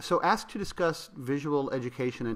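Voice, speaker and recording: On a very clean recording with a silent background, a man speaks at a fairly high pitch in a bright, sharp tone with lively intonation. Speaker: journalism educator. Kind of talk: prepared presentation. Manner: fast; halting, repeats words.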